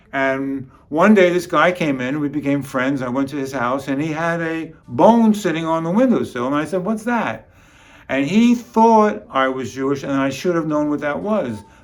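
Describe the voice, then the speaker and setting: With a New York accent, a man talks at a moderate pace with lively intonation and a fairly high pitch. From New York City (Bronx). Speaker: comedian and musician. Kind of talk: comic storytelling monologue.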